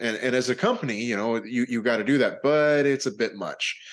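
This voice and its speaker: Using a plain, everyday voice with an American accent, a man speaks at a moderate pace and medium pitch with ordinary pitch variation against a quiet background. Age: 40s. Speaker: podcast host and independent filmmaker. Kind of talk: casual interview chat.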